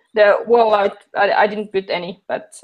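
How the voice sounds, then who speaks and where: Speaking at a moderate pace, a woman with a non-native accent has a fairly high voice. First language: not English. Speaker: maker YouTuber. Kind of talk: interview. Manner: halting.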